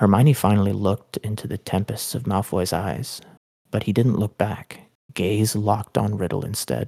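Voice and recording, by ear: Reading aloud in a natural voice, with fairly even intonation against a quiet background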